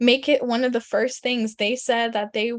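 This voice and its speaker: A woman's fairly high voice, monotone and flat, at a moderate pace against a quiet background. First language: German. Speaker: career coach, former teacher. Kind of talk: webinar presentation.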